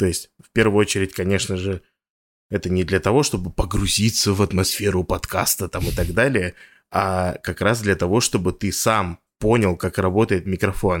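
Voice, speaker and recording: This man's very deep, low voice moves at a moderate pace with fairly even intonation, recorded dry and close with no echo. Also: very clean recording, silent background. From Russia, Yamal (Noyabrsk). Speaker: podcast sound engineer and composer. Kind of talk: interview. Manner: halting, many fillers.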